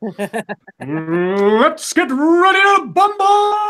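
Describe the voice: A put-on character voice carries a high pitch and very wide pitch swings.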